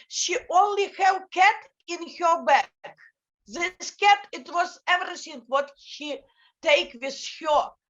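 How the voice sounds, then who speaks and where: A woman speaks very slowly with an extremely high pitch and ordinary pitch variation. Long pauses come often. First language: Ukrainian. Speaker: NGO director. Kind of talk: panel talk. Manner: halting. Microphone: bad connection.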